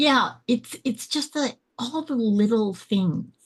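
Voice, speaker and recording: A woman's somewhat breathy voice, fairly slow in pace, with lively intonation. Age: 60s. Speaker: podcast guest. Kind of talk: casual interview. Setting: video call.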